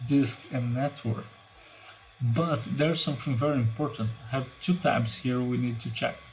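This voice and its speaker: A man's medium-pitched voice at a moderate pace with ordinary pitch variation, against noticeable background noise. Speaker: cybersecurity tutorial youtuber. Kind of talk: tutorial.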